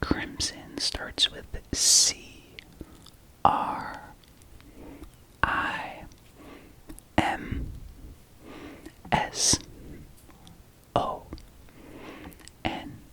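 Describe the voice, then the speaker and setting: Whispering at a very slow pace, a man leaves long, frequent pauses, his loudness swinging widely over noticeable background noise. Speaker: ASMR creator. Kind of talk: ASMR talk to camera about record collection. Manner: whispering, soft-spoken.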